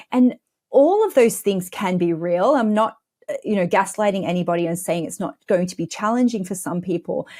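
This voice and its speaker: On a very clean recording with a silent background, a woman with an Australian accent speaks fairly quickly in a dark, mellow tone at medium pitch, with ordinary pitch variation. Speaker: money mindset coach. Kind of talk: podcast interview.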